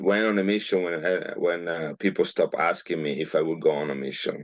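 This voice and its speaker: A man speaks with an Italian accent. His pace is fairly quick. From northern Italy, Milan. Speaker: geneticist. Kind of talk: interview. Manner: halting, many fillers.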